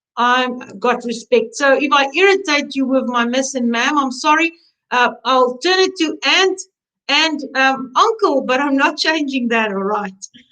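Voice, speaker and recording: A woman's high-pitched, raised and projected voice in a South African accent, bright and sharp in tone, with lively intonation at a fairly slow pace. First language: Afrikaans. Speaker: embroidery instructor. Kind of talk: webinar chat. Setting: online webinar.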